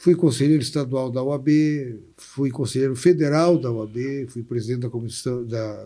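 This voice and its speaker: A man's medium pitch and dark, mellow tone at a moderate pace. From Brazil, Porto Alegre. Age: 60s. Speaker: labor lawyer and city councillor. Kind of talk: interview conversation.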